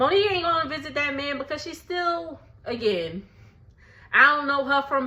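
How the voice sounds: With an American accent, a woman speaks at a moderate pace in a high, bright, sharp voice, and room echo is audible.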